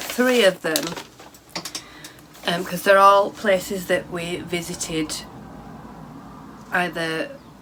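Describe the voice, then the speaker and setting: A woman talks at a very slow pace with long, frequent pauses, her pitch fairly low with ordinary variation. Noticeable background noise sits under her voice. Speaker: knitting and craft podcaster. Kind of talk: casual chat. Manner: halting.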